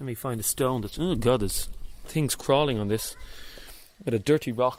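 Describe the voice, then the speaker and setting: Speaking in a Dublin accent at a medium pitch, a man keeps a moderate pace and ordinary pitch variation, leaving long, frequent pauses. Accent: Dublin Irish. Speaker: radio host. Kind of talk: live on-location radio report. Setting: outdoors at a monastery, then inside a church. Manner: whispering in church.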